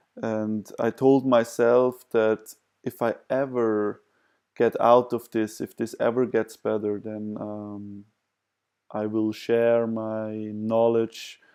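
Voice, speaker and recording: Against a quiet background, a man with a non-native accent speaks at a very slow pace with a dark, mellow tone, a medium pitch, and monotone, flat intonation. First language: not English. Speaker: vlogger sharing personal experience. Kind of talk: self-help talk to camera. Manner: hesitant, many fillers.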